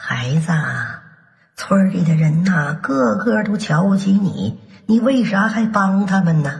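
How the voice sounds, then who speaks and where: A put-on character voice, hoarse and at a middle pitch, delivers its lines at a fairly slow pace. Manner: slow, gentle.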